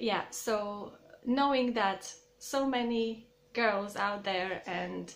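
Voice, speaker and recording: Audible room echo surrounds a woman with a fairly high voice and a Croatian accent. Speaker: YouTuber. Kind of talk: casual vlog talk to camera. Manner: halting, many fillers.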